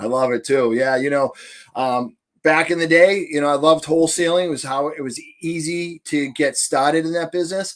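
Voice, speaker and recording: Here a man talks at a fairly quick pace with a Boston accent. His pitch is fairly high, and its variation is ordinary. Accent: thick Boston. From New Hampshire, US. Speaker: real estate investor. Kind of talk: podcast interview. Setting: podcast. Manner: long-winded.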